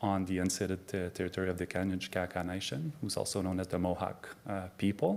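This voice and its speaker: With a very deep, low pitch and ordinary pitch variation, a man talks at a fairly quick pace with hardly any pauses. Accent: French Canadian. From Quebec, Canada. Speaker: addiction psychiatry professor. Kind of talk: conference talk. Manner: halting, many fillers.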